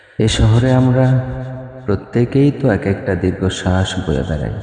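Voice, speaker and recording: Noticeable background noise sits behind the recording. A man speaks with lively intonation. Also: fairly low pitch for a man. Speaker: voice-over artist. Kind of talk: poetry reading. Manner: emotional, somber.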